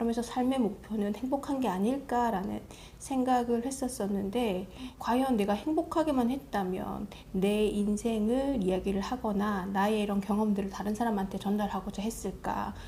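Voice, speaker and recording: In a plain, everyday voice, a woman speaks at a fairly high pitch and a moderate pace with ordinary pitch variation. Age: 40s. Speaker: book vlogger. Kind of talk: casual reflective monologue.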